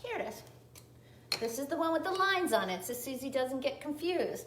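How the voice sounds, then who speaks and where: A woman's voice with a Southern US accent and lively intonation, amid audible room echo and noticeable background noise. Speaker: cocktail and cooking video host. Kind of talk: live cooking tutorial. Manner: chatty, self-correcting.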